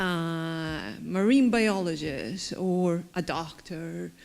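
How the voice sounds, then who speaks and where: Ordinary pitch variation in a Chilean accent. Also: woman. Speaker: agriculture professional. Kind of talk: panel discussion.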